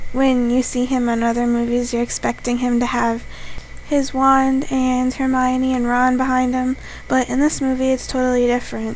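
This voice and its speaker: A woman speaks quietly in a high voice. Noticeable background noise sits behind her. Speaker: YouTube vlogger. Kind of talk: casual vlog review. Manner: talks quietly on camera; slower pace.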